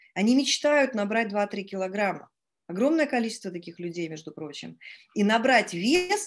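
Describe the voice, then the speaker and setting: Speaking at a moderate pace, a woman with a fairly high voice makes very wide pitch swings and big swings in loudness. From Estonia. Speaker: network marketing team leader. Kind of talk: live webinar presentation. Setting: online webinar. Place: home room. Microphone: video call.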